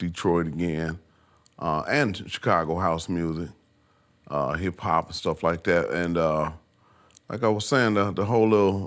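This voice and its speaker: A man with a very deep, low pitch at a fairly slow pace, with ordinary pitch variation, long, frequent pauses and a very clean recording with a silent background. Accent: American. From US Midwest, Muskegon, Michigan. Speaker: music producer. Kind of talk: casual interview chat.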